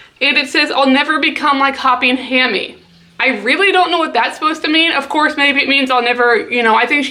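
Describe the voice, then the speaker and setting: Over noticeable background noise, a woman speaks very fast in a raised, projected voice with a high pitch, ordinary pitch variation and very even loudness. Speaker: pet YouTuber. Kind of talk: casual vlog commentary.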